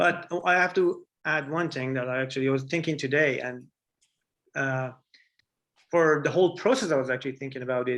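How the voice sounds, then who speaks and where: A man's fairly high voice in an Iranian accent, fairly quick in pace yet with long, frequent pauses, with ordinary pitch variation. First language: Farsi. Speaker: artist, printmaker. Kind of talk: artist talk Q&A.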